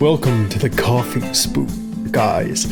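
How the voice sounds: Over clear music in the background, someone uses a put-on character voice at a fairly slow pace.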